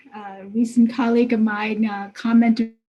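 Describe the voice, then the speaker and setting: In a Vietnamese accent, a woman talks at a fairly slow pace, her pitch fairly high and her tone dark and mellow. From Vietnam, then US as a young refugee. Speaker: technology executive. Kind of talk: interview. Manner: hesitant, many fillers.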